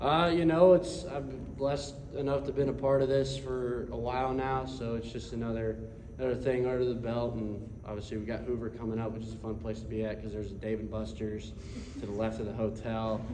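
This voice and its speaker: At a fairly quick pace, a man of medium pitch talks with lively intonation, amid audible room echo and noticeable background noise. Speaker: college baseball pitcher. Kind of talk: press conference. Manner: halting.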